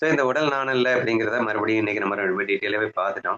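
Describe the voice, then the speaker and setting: A man speaks at a medium pitch for a man, with ordinary pitch variation. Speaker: spiritual study teacher. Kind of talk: scripture study class.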